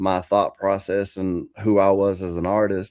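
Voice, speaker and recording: A man with an American accent, a fairly low pitch, monotone, flat intonation and a fairly slow pace, on a very clean recording with a silent background. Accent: country twang. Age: 40s. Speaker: country rapper. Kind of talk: interview. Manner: halting.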